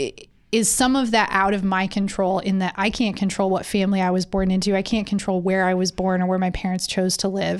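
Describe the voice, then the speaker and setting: With a Michigan accent, a woman at medium pitch speaks at a fairly quick pace in a flat monotone, her loudness very even, on a very clean recording with a silent background. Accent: Midwestern American (Michigan). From rural central Michigan. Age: 30s. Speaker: podcast co-host. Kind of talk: casual chat.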